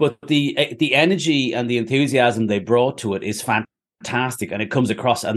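A man with an Irish accent against a quiet background. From Ireland. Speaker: novelist and former comedian. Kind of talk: author interview, casual chat.

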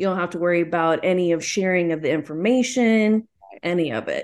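A woman with an American accent has a normal speaking voice. She speaks at a fairly quick pace with lively intonation. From Texas, small town. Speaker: expectant single mother. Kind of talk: casual chat.

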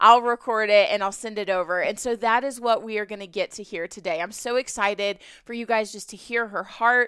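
A woman's fairly high voice carries a bright, sharp tone and ordinary pitch variation. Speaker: podcast host, military wife. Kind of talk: casual solo podcast intro. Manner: enthusiastic, giggly.

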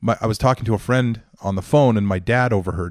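Ordinary pitch variation marks this man's speech with a Western Canadian accent. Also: very clean recording, silent background. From Northern Alberta, Canada. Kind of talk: interview.

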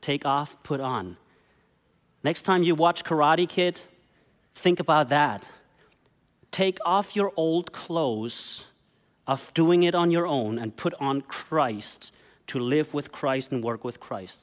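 Over a very clean recording with a silent background, a man with a German accent talks at a very slow pace with long, frequent pauses, his fairly high voice full of lively intonation. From Germany. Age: 40s. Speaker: pastor. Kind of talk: sermon.

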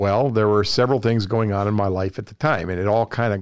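A man's normal speaking voice, fairly low in pitch with ordinary pitch variation, in a dry, close sound with no echo and a very clean recording against a silent background. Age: 60s. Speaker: pressure washing business owner. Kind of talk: interview. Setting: studio.

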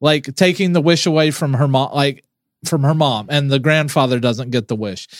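With an unremarkable speaking voice, a man speaks at a moderate pace, with a fairly high pitch and ordinary pitch variation. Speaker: podcast co-host. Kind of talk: casual chat.

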